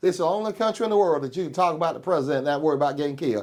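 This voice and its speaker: The speaker has a Georgia accent and ordinary pitch variation. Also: man. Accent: Southern US, Georgia. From US South, Georgia (Macon area). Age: 60s. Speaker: county coroner. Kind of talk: interview, casual debate. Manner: emphatic, repeats "okay?" often.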